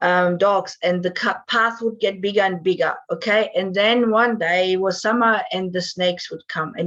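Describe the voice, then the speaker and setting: In a German accent, a woman speaks at a moderate pace with fairly even intonation and hardly any pauses. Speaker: divorce and breakup coach. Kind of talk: interview.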